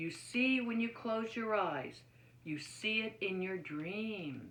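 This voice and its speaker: Using a put-on character voice at a medium pitch, a woman speaks at a fairly slow pace with audible echo. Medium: read story.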